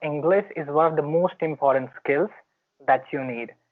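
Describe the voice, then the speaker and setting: With an American accent, a man speaks at a fairly high pitch and with fairly even intonation. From India, Bihar. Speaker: student. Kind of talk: casual chat.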